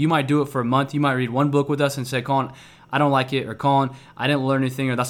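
The tone is upbeat. A man speaks very fast at a medium pitch. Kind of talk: pep talk. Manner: fervent, upbeat, motivational, emphatic with repetition.

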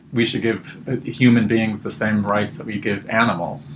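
Noticeable background noise sits behind the voice. Pitch varies in an ordinary way. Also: man. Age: 30s. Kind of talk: interview.

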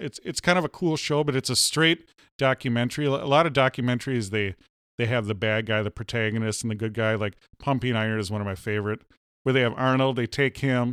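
Recorded very cleanly against a silent background, with a dry, close sound and no echo, a man with an unremarkable speaking voice talks at medium pitch and a fairly quick pace with ordinary pitch variation. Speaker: podcast host. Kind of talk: casual comedic chat. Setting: home studio barn.

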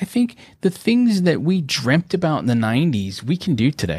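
A somewhat breathy man at a fairly quick pace, with very wide pitch swings. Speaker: business coach. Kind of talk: casual chat. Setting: video call.

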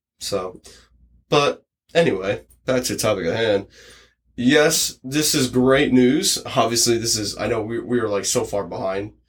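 A man with an American accent, a plain, everyday voice, medium in pitch, ordinary pitch variation, fairly slow pace. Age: 20s. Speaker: podcast host. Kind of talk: casual chat.

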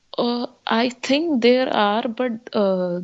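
A woman with an Indian accent and ordinary pitch variation. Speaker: student. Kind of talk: Skype call chat. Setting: video call.

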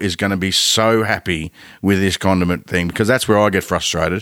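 On a very clean recording with a silent background, a man with an Australian accent speaks at a moderate pace in a fairly low voice. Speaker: podcast host. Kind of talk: casual chat. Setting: studio.

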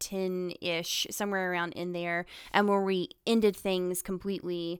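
In a very clean recording with a silent background, a woman with a Southern US accent speaks at a fairly slow pace. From North Carolina. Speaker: guest, girlfriend of a host. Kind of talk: casual banter. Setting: studio.

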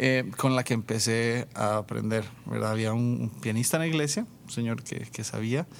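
This is a plain, everyday voice from a man at medium pitch. He speaks at a moderate pace with fairly even intonation. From Costa Rica, rural San Vito de Coto Brus. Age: 30s. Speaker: worship leader and musician. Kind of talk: casual interview testimony.

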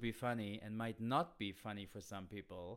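With a German accent, a man speaks at a fairly slow pace. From Germany. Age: 30s. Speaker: comedian. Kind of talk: casual chat.

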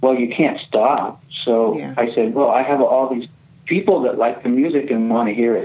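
A man with a normal speaking voice, medium pitch and moderate pace. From US West Coast, California redwoods. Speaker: singer-songwriter and record label founder. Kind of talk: interview conversation.

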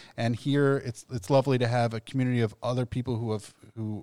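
With an American accent, a man speaks in a normal speaking voice at a medium pitch, a fairly quick pace and ordinary pitch variation. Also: dry, close sound with no echo. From Ohio (Columbus). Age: 40s. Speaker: rabbi. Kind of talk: casual chat. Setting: studio.

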